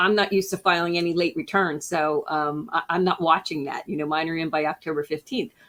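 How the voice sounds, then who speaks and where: Ordinary pitch variation at a fairly quick pace. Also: woman. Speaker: CPA tax practitioner panelist. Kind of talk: webcast tax presentation. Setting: webcast. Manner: very fast.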